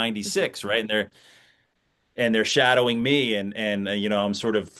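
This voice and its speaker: A man's fairly low pitch and fairly even intonation come through in an unremarkable speaking voice. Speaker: stadium PA announcer and teacher. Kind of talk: interview answer.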